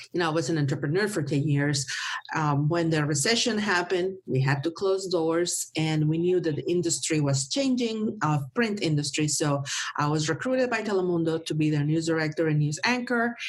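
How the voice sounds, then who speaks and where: With a Mexican accent, a woman talks in a fairly low voice, her intonation lively and her loudness very even. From northern Mexico (Monterrey). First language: Spanish. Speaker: marketing professional and former TV news anchor. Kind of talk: interview. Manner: halting, with repeated words.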